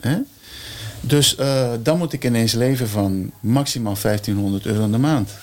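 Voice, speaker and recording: In a very clean recording with a silent background, a man with an unremarkable speaking voice talks at a fairly slow pace, his pitch medium and his pitch variation ordinary. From Curaçao. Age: 60s. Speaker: percussionist. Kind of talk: casual chat.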